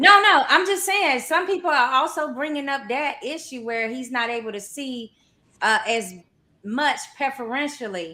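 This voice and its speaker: A woman with a North Carolina accent speaks in a raised, projected voice at a high pitch. Her tone is bright and sharp, with very wide pitch swings. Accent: North Carolina Southern drawl. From US South, North Carolina. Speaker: boxing podcast co-host. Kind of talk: casual chat.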